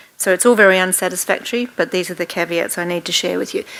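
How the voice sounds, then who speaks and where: A woman with an Australian accent speaks at a very fast pace. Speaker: professor. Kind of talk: workshop lecture. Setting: room with live audience.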